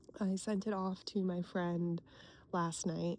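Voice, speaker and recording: Quietly and at a fairly slow pace, a woman with an American accent speaks in a dark, mellow tone. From US Pacific Northwest. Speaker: cartoonist and illustrator vlogger. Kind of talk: casual vlog. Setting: outdoors at a lake.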